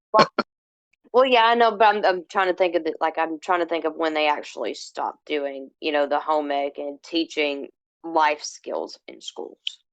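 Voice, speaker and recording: In a normal speaking voice, a woman with a fairly low pitch talks at a moderate pace with ordinary pitch variation and big swings in loudness, in a dry, close sound with no echo. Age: 30s. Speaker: homesteader and social app creator. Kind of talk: casual interview.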